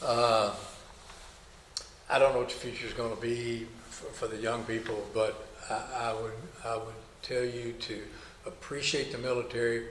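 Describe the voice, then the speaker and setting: In a room with audible echo and noticeable background noise, a man with a medium pitch speaks in a monotone, flat way, with long, frequent pauses. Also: moderate pace. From Kentucky. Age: 70s. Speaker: army veteran, former drill instructor. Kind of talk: oral history interview. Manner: halting, many fillers and repetitions.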